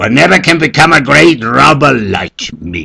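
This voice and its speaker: A man bellows in a put-on character voice at a fairly slow pace, the sound dry and close with no echo. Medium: read story. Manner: angry and contemptuous.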